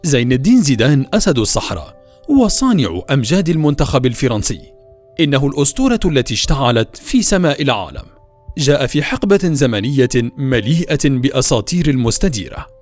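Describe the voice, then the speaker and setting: Fairly high male voice with lively intonation, very even loudness and a moderate pace, over music in the background. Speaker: voice-over artist. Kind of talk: documentary narration.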